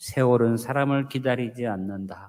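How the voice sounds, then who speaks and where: A man talks at a medium pitch and a fairly slow pace. He has an ordinary speaking voice. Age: 60s. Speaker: pastor. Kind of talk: sermon.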